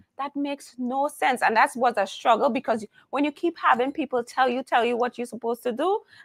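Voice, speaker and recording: A woman with a Trinidadian accent talks at a fairly quick pace, her high pitch showing ordinary variation. The recording is very clean and dry, close with no echo and a silent background. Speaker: humorous keynote speaker and coach. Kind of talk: interview conversation. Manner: animated.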